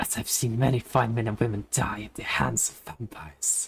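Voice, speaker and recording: Using a raspy, put-on character voice with a low pitch and a weary tone, the speaker moves at a moderate pace. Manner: gravelly, weary.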